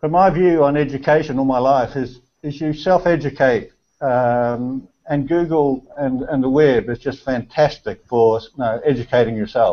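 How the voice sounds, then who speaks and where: A man speaks with a New Zealand accent. His pitch is fairly high. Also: ordinary pitch variation, moderate pace, quiet background. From New Zealand (Auckland). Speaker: amateur photographer. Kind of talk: casual chat. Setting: video call. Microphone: video call.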